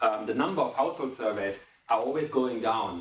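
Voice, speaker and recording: A man talks at a very fast pace with ordinary pitch variation. Audible room echo and noticeable background noise surround him. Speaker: development economist presenting a book. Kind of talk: conference presentation.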